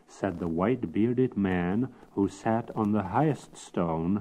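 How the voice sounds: A natural reading voice is what comes through here.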